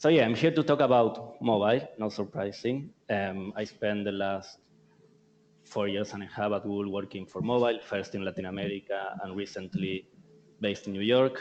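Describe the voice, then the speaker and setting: A man's fairly low voice in an Argentinian accent, with ordinary pitch variation and a moderate pace. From Argentina. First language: Spanish. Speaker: tech company marketing speaker. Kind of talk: conference presentation. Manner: halting.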